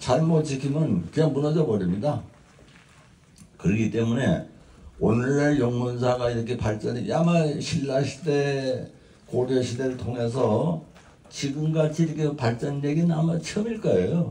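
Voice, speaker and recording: A man at a fairly slow pace, very even in loudness, with audible room echo. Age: 80s+. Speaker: Buddhist monk. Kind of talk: ceremonial dharma talk.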